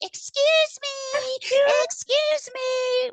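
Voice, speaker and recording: This female-sounding, put-on character voice is pitched extremely high for a woman. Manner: polite, prim.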